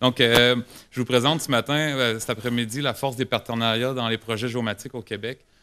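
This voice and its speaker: In a very clean recording with a silent background, a man with a Quebec accent speaks at a moderate pace, his bright, sharp tone carried by fairly even intonation. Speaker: government geomatics specialist. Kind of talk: conference presentation. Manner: halting, many hesitations and repetitions.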